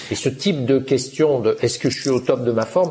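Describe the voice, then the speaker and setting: The voice is somewhat breathy and dark, mellow in tone, moving at a fairly slow pace with lively intonation. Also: man. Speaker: magazine editor-in-chief. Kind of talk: radio interview. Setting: remote digital link.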